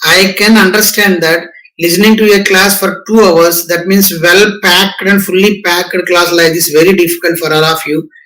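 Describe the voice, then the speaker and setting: In a raised, projected voice, a man with a high pitch talks at a moderate pace with fairly even intonation and hardly any pauses. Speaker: professor. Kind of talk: lecture.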